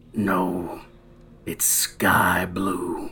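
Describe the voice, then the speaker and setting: A man puts on a character voice with a very deep, low pitch. His tone is raspy. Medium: actual play. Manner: gruff, blunt.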